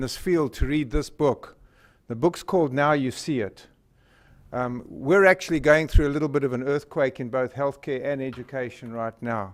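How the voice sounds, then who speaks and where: With a southern African accent, a man speaks at a fairly high pitch. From Northern Rhodesia (Zambia), southern Africa. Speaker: company presenter, physician and entrepreneur. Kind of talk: presentation to a school board. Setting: public board meeting. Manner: hesitant, many filler words.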